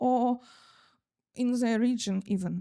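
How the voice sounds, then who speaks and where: A woman's high-pitched voice, dark and mellow in tone, fairly slow, with ordinary pitch variation and a dry, close sound with no echo. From eastern Ukraine, Luhansk. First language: Russian. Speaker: photographer and sociologist. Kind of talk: presentation at a cultural event. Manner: halting, many fillers.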